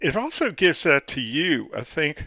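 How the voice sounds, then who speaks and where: A bright, sharp tone with vocal fry marks this man speaking at a fairly slow pace, on a very clean recording with a silent background and a dry, close sound with no echo. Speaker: college instructor. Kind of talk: recorded lecture. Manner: halting, many fillers.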